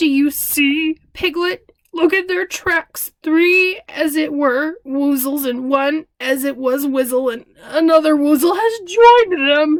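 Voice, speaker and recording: A woman puts on a character voice with a high pitch. She talks at a fairly slow pace. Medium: read story. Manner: ponderous, earnest.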